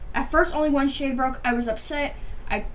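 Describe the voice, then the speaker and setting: A woman's fairly quick speech with ordinary pitch variation and audible room echo. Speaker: beauty vlogger. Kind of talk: casual chat. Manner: rambling, fast casual talk with fillers; stuttering, halting.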